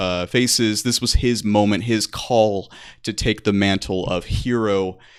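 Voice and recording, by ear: Reading aloud happens here in a natural voice.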